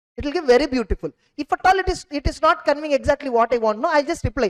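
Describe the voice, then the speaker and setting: A woman with an Indian accent talks at a very fast pace with very wide pitch swings. The sound is dry and close, with no echo. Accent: Indian English, Telugu. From India, Telugu-speaking region. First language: Telugu. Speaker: CA exam teacher. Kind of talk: lecture. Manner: halting.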